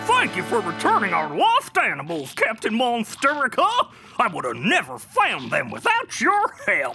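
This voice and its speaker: A cartoonish character voice moves at a moderate pace over clear music in the background. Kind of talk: kids' cartoon acting. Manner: folksy, matter-of-fact.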